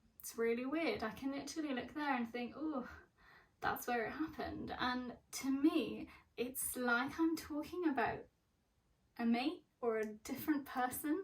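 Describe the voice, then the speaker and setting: At a moderate pace, a woman with an English accent talks high-pitched, her pitch varying in an ordinary way. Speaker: mental health vlogger. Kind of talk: personal vlog. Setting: bedroom at parents' home.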